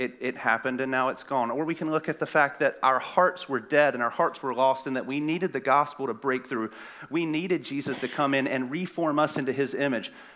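Fairly quick and with hardly any pauses, the voice has a bright, sharp tone and fairly even intonation. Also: man. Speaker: pastoral intern. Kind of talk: sermon. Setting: church.

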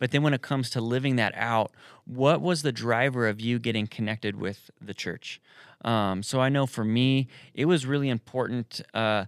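Recorded very cleanly with a silent background and a dry, close sound without echo, a man talks at a moderate pace in an ordinary speaking voice, his medium pitch showing ordinary variation. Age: 30s. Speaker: church podcast host. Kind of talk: casual chat.

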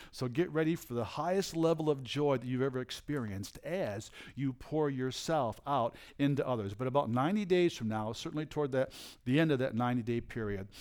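Speaking at a fairly quick pace, a man uses an animated tone, a medium pitch and ordinary pitch variation. The recording is very clean with a silent background. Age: 60s. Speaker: traveling prophet and preacher. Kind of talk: sermon with prophetic ministry. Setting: church service with congregation.

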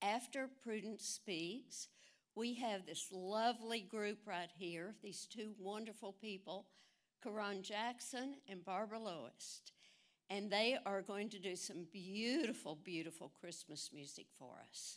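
A woman speaks in an ordinary speaking voice at medium pitch. She goes at a fairly slow pace with ordinary pitch variation. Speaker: event announcer. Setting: church.

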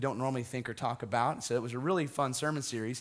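A man's medium-pitched voice with fairly even intonation, music playing in the background. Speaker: pastor. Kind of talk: sermon. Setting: church.

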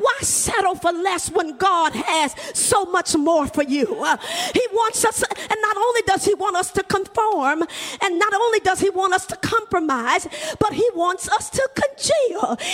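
A woman speaks at an extremely high pitch with an animated tone and lively intonation, keeping a fairly slow pace and very even loudness over noticeable background noise. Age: 60s. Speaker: preacher. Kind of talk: sermon. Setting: church.

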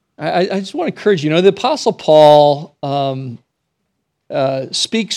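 With lively intonation and a fairly quick pace, a man with a fairly high pitch and an unremarkable speaking voice comes through in a very clean recording with a silent background. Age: 50s. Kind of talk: sermon. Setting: church.

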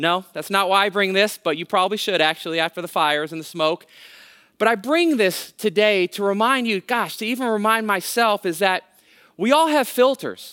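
In a raised, projected voice, a man speaks at a moderate pace with a high pitch, a bright, sharp tone and lively intonation, in a dry, close sound with no echo. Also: very clean recording, silent background. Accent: American. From California, Bay Area (Hayward). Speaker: guest pastor. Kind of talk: sermon.

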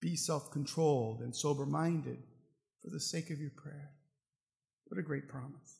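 With long, frequent pauses, a man speaks at a moderate pace in a fairly high pitch, his tone dark and mellow with vocal fry. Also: ordinary pitch variation. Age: 50s. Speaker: pastor. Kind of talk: sermon. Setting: church.

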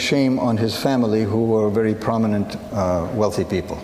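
Noticeable background noise behind a man's fairly slow speech. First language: Assyrian (Syriac). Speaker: missionary speaker. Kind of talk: sermon. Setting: church service.

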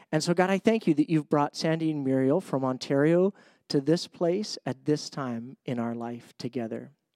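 At a fairly high pitch with ordinary variation, a man speaks in a dark, mellow tone at a moderate pace, on a very clean recording with a silent background and a dry, close sound with no echo. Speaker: pastor. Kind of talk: church announcements and prayer. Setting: church.

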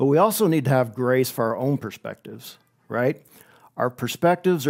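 Using lively intonation, a man talks in a normal speaking voice at medium pitch. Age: 40s. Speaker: pastor. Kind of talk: sermon. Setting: online church service.

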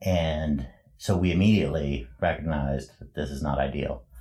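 Vocal fry in a male voice whose pitch varies in an ordinary way. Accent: Canadian. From western Canada, Prince George, British Columbia. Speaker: church volunteer. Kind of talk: interview testimony.

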